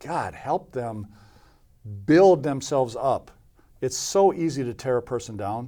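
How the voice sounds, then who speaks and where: A man speaks at a fairly slow pace with a dark, mellow tone, medium pitch and lively intonation, leaving long, frequent pauses. The recording is very clean, with a silent background. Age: 50s. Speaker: football coach, former pro player. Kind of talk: interview conversation.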